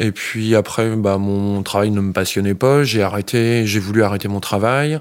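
At a fairly slow pace, a man talks with a fairly low pitch. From France, Essonne (Île-de-France). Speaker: organic farmer. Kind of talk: interview. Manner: halting.

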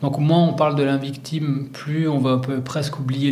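A man whose pitch is fairly high keeps a moderate pace, with noticeable background noise and audible room echo in the recording. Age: 40s. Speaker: sports journalist and author. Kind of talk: interview.

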